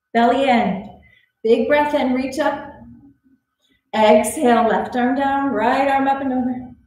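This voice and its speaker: A woman speaks fairly slowly at a high pitch with fairly even intonation. Her long, frequent pauses carry audible room echo. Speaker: yoga instructor. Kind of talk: guided yoga class, cueing poses and breath. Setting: online video class recorded at the gym. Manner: calm, soothing, encouraging; rhythmic, steady cues. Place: gym.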